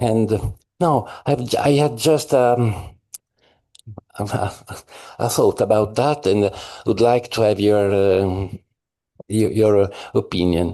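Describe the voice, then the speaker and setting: With an Italian accent, a man speaks very slowly in a fairly low, dark and mellow voice at very even loudness, leaving long, frequent pauses against a quiet background. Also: ordinary pitch variation. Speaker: scholar. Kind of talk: conference discussion question. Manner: halting.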